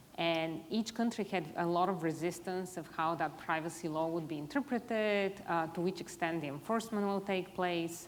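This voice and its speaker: Her voice is fairly low in pitch, and the woman moves at a moderate pace with ordinary pitch variation and hardly any pauses. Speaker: privacy executive, panelist. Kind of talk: panel discussion.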